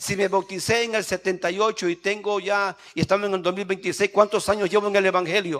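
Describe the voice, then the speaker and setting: Words come at a fairly quick pace with hardly any pauses, in a monotone, flat intonation. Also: man, high pitch for a man. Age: 60s. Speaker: pastor. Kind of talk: sermon. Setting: church.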